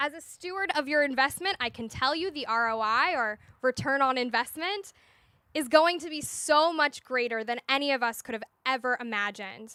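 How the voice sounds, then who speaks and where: The raised, projected voice has a bright, sharp tone, lively intonation and big swings in loudness at a moderate pace. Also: woman, high pitch for a woman. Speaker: Hillel director leading groundbreaking ceremony. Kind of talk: ceremonial speech.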